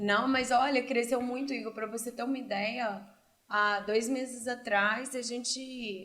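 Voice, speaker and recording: With audible room echo, a woman speaks at a fairly slow pace in a high, bright, sharp voice with monotone, flat intonation. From Brazil, Cascavel, Paraná. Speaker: entrepreneur and doctoral student. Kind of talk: casual interview.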